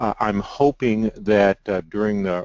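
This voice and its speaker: Someone with a Midwestern US accent speaks at a moderate pace. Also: man. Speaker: architect. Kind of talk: webinar presentation. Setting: webinar over computer, no webcam. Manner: hesitant, many fillers.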